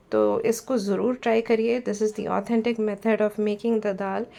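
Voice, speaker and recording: The tone is dark and mellow. Intonation stays flat and monotone. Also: woman. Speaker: food vlogger. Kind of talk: cooking vlog voiceover. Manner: halting, many fillers.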